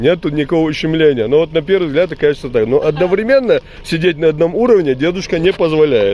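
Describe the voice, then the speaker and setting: Noticeable background noise sits behind the speaker. A man talks with lively intonation. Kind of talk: casual commentary to camera.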